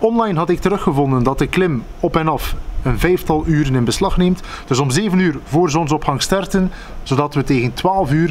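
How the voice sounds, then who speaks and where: A man at a moderate pace with ordinary pitch variation and very even loudness, over light background noise. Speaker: vlogger. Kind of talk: casual vlog storytelling. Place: garden. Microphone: phone near.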